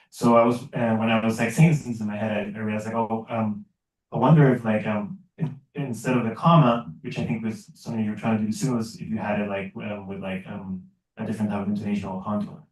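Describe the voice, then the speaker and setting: The man's pitch is medium, his pitch variation ordinary, and he talks at a very fast pace. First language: not English. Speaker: audience member, researcher. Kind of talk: academic Q&A question. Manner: hesitant, many fillers.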